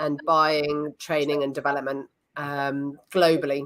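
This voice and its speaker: The speaker has a British accent. The pace is fairly slow. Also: woman. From United Kingdom. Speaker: facilitation trainer. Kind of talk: interview podcast.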